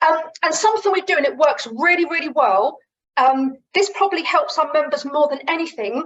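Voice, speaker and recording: A woman with a southern English accent speaks at a fairly quick pace. Her pitch is high, and her intonation is lively. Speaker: running coach. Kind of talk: webinar sales pitch. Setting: video call. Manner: casual, conversational.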